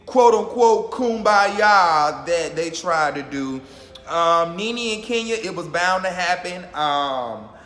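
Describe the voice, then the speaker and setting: A man's high-pitched voice with lively intonation at a very slow pace, with audible room echo. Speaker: YouTuber reacting to reality TV. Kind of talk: casual vlog commentary.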